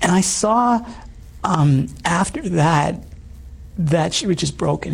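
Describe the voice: A man's hoarse, raspy voice, fairly high-pitched, with vocal fry and ordinary pitch variation.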